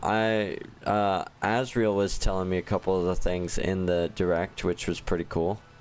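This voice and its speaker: Over music in the background, a man with a very deep, low voice speaks in a relaxed tone with fairly even intonation. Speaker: gaming livestreamer. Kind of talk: casual live stream chat. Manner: casual, relaxed.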